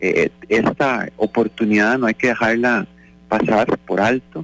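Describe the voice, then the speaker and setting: A plain, everyday voice from a man at medium pitch, fairly even intonation, dry, close sound with no echo. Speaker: doctor. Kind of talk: radio interview.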